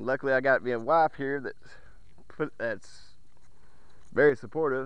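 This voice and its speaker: In a dry recording with no echo, a man with a bright, sharp tone speaks at a moderate pace with fairly even intonation. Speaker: magnet fishing vlogger. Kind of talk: casual vlog chat. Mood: sincere, emotional, grateful. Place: waterside. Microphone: phone near.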